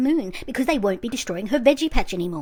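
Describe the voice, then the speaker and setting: A very fast woman's voice in an Australian accent, fairly high in pitch, with lively intonation. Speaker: YouTube commentator. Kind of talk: commentary review monologue. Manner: fast, sped-up playback.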